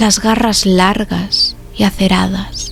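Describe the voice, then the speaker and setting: A woman speaks in a calm tone with music in the background. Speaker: ASMR narrator. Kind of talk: sleep story. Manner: whispered; slow, calm.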